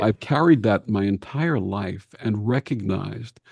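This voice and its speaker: This man speaks in a fairly low, somewhat breathy voice with a dark, mellow tone. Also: dry, close sound with no echo, quiet background. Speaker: healer and spiritual counselor; radio host. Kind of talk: interview answer.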